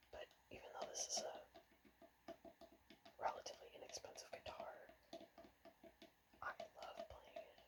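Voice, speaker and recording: The speaker whispers in a soft-spoken way, leaving long, frequent pauses. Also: moderate pace. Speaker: ASMR creator and guitar player. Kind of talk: ASMR whispered ramble about guitars. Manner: whispered, soft-spoken.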